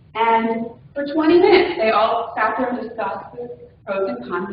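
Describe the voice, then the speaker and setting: Noticeable background noise and audible room echo surround the recording. A woman speaks at a fairly high pitch. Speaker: agile project manager presenting at user group. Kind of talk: conference talk. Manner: talkative, can speak quickly.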